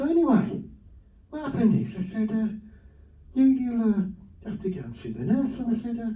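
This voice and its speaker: Over noticeable background noise and audible room echo, a man with a high voice talks at a fairly quick pace, his pitch varying in an ordinary way, his loudness swinging widely, and long pauses coming often. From northern England, Wigan. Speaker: comedian. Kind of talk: stand-up. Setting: stage with audience.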